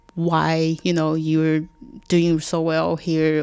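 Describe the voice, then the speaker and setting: A woman speaks at a very slow pace with a fairly low pitch. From China, Cixi. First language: Chinese. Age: 30s. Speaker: realtor. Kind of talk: casual interview chat. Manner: halting, many fillers.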